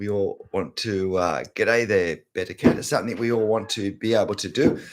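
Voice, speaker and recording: Speaking at a medium pitch and moderate pace, a man talks with an Australian accent. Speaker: art teacher YouTuber. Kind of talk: live stream chat. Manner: casual, chatty.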